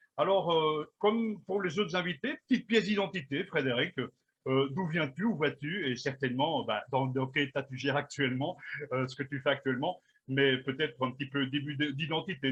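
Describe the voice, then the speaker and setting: A man with a plain, everyday voice, fairly high pitch, ordinary pitch variation and a moderate pace. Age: 50s. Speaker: radio host and interviewer. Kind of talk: interview.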